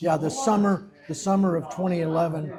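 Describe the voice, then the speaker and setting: Music plays behind a man speaking with an American accent. His pitch is high, with ordinary variation. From USA. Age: 70s. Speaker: retired stockbroker and English teacher. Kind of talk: interview. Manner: halting, many fillers and repetitions.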